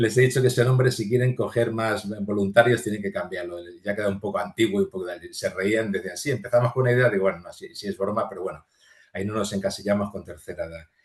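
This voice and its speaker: A man with a fairly low pitch speaks at a very fast pace, somewhat breathy. His intonation stays fairly even while his loudness swings widely. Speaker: physicist and museum volunteer guide. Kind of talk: interview conversation. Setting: podcast recording.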